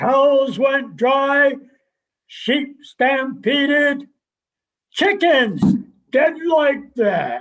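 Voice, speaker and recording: Using a put-on character voice, a man speaks at an extremely high pitch and a very slow pace. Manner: curt, terse, deadpan.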